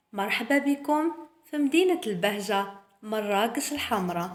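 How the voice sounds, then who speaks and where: Speaking with a Moroccan accent, a woman uses a fairly high pitch and lively intonation at a fairly slow pace. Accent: Moroccan Arabic (Darija). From Morocco. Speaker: YouTube presenter. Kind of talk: presenting a cultural talk.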